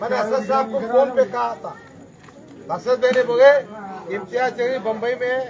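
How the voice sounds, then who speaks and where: Over crowd noise in the background, a man with an extremely high pitch speaks with fairly even intonation and long, frequent pauses. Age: 60s. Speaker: politician. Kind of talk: political speech.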